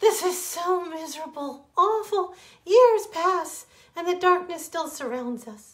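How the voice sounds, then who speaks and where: A woman's put-on character voice, squeaky and extremely high-pitched, raised and projected, at a fairly slow pace. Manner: crying, miserable.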